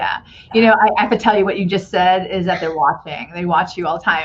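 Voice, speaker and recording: A woman with a medium-pitched voice talks at a very fast pace in an animated tone. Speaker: podcast host. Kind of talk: interview conversation. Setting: live video show.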